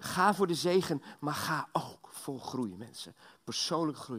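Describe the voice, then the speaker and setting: Lively intonation marks this man's fairly high voice. He speaks at a fairly slow pace. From Belgium. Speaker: guest preacher. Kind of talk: sermon. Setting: church. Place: church.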